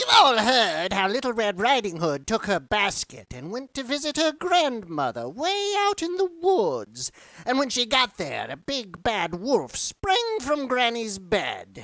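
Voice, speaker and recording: Fairly slow, fairly high-pitched put-on character voice. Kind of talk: horror comic dramatization.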